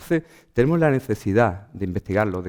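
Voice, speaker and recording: The speaker uses an Andalusian accent at a very fast pace with lively intonation. The recording is very clean, with a silent background. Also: man. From Andalusia, Huelva. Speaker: archaeologist. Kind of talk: lecture.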